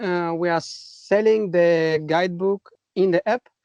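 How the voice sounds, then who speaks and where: A man with a Russian accent speaks at a high pitch with fairly even intonation. The sound is dry and close, with no echo. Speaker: kayaking app co-founder. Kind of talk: casual chat. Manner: halting.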